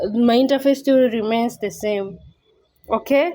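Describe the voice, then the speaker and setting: Speaking in a non-native accent, a woman uses a high pitch with ordinary pitch variation. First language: not English. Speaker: YouTuber. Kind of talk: tutorial. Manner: casual, conversational.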